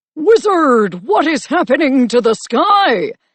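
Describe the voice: A put-on character voice, high-pitched and fairly slow, with very wide pitch swings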